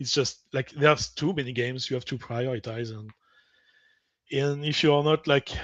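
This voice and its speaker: A man speaks with a French accent and fairly even intonation. He leaves long, frequent pauses. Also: medium pitch for a man, moderate pace, dry, close sound with no echo. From French-speaking. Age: 40s. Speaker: podcast guest. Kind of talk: casual chat.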